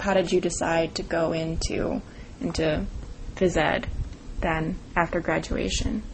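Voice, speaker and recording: A woman with a fairly low pitch speaks at a moderate pace and fairly even intonation. Her long, frequent pauses sit over noticeable background noise. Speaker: student interviewer. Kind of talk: interview questions.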